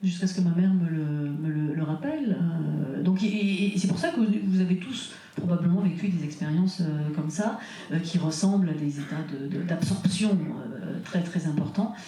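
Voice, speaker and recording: Moderate pacing with ordinary pitch variation, noticeable background noise, and audible room echo. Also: woman, fairly low pitch for a woman. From France, childhood partly in Burkina Faso. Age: 60s. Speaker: author and trance researcher. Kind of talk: conference interview. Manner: halting, many hesitations.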